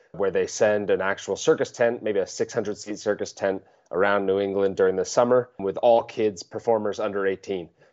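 A man talks at a fairly quick pace with an American accent and ordinary pitch variation. It is an ordinary speaking voice. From Vermont, US Northeast. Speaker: juggler and circus performer. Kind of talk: interview conversation.

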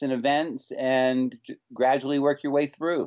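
This is a man talking. He speaks with an American accent. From North Carolina, Winston-Salem. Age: 40s. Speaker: juggler and circus performer. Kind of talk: interview conversation. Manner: some hesitations and false starts.

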